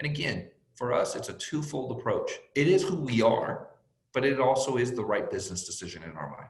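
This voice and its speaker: At a fairly quick pace, a man speaks with big swings in loudness and audible room echo. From born in Mexico, raised in US from age five. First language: Spanish. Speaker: sports team executive. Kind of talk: panel interview.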